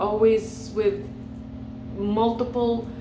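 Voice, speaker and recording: A woman with an Indian accent talks at a medium pitch with fairly even intonation. The room echo is audible and background noise is noticeable. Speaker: energy healer and hypnotherapist. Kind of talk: motivational talk to camera.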